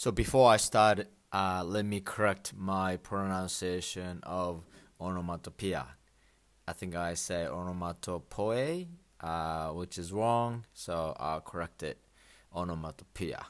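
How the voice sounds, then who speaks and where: At a fairly slow pace and with ordinary pitch variation, the voice comes through on a very clean recording with a silent background. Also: man, very deep, low pitch for a man. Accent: Japanese. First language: Japanese. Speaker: Japanese language teacher podcaster. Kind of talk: language lesson. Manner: halting with many fillers.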